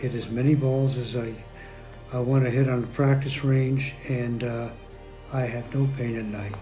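A man talks at a moderate pace with monotone, flat intonation. Faint music plays in the background. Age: 70s. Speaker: stem cell therapy patient. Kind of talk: patient testimonial interview answer. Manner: hesitant, many filler words. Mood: calm, satisfied.

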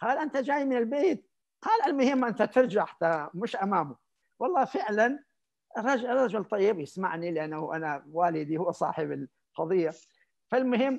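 With lively intonation and a moderate pace, the man speaks over a quiet background. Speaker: Islamic scholar and preacher; preacher. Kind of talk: interview anecdote. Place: home room. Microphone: video call.

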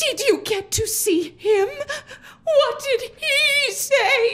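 A woman puts on a character voice at an extremely high pitch. Her tone is fairly bright and her pace very slow. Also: lively intonation.

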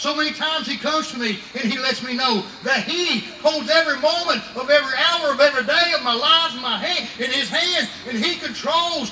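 A man speaks in a raised, projected voice at a fairly quick pace with ordinary pitch variation, amid audible room echo and light background noise. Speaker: preacher. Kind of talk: revival sermon. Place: tent.

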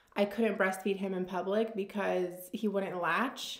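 A woman's voice against a quiet background, with audible room echo. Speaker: lifestyle vlogger. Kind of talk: casual Q&A chat. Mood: relaxed, candid. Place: home room.

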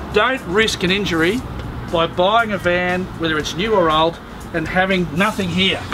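Backed by music, a man with a high pitch talks at a moderate pace. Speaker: caravan salesman. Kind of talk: product demonstration tutorial. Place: street. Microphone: camera far.

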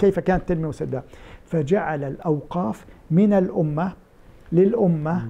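You hear a man. His voice has a dark, mellow tone. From Kuwait (Palestinian family). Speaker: Islamic endowments expert. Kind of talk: interview. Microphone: lapel.

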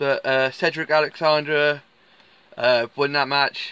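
A man speaks at a very slow pace. The sound is dry with no echo. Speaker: wrestling fan vlogger. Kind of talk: casual vlog chat. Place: car.

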